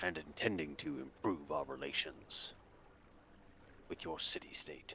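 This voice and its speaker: Clear background noise sits behind a man doing a put-on character voice. His pitch is very deep and low, and his pace is moderate. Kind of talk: formal courtly speech. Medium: actual play. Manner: measured, formal.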